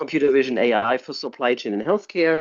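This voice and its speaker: A man speaks with a German accent and fairly even intonation. The sound is dry and close with no echo, over a quiet background. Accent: noticeable German. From Germany. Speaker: tech entrepreneur and CEO. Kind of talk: interview.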